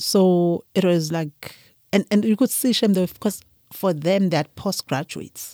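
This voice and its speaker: A dark, mellow tone at a fairly slow pace, with ordinary pitch variation, in a very clean recording with a silent background. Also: woman, medium pitch for a woman. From KwaZulu-Natal, South Africa. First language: Zulu. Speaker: winemaker. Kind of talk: interview conversation.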